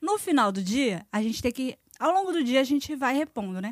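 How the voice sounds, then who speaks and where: Her animated tone moves through very wide pitch swings at a moderate pace, with a dry, close sound and no echo. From Brazil. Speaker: former theme park worker. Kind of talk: casual chat.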